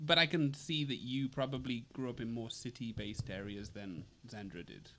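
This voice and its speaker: A man's medium-pitched voice, bright and sharp in tone, with ordinary pitch variation and a moderate pace. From England. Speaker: podcast co-host. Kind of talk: casual chat.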